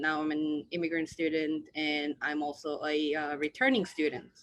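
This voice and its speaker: Speaking at a moderate pace, a woman has a fairly low pitch. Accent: Korean. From South Korea. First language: Korean. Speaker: student. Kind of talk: presentation.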